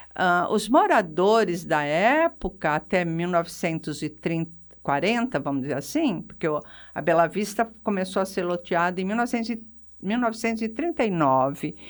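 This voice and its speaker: On a very clean recording with a silent background, a woman speaks at a moderate pace with a medium pitch and lively intonation in a plain, everyday voice. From Brazil, São Carlos (São Paulo state). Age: 60s. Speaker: retired physiotherapist and local historian. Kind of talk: radio interview.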